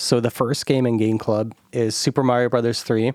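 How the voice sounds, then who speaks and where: A man speaks with a Midwestern American accent. The sound is dry and close, with no echo. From US Midwest. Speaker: podcast host. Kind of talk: casual chat.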